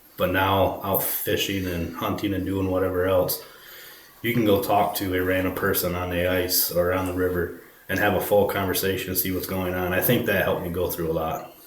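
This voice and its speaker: The delivery is flat and monotone. Noticeable background noise and audible room echo fill the recording. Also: man, very deep, low pitch for a man. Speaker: fisherman. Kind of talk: podcast interview. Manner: halting.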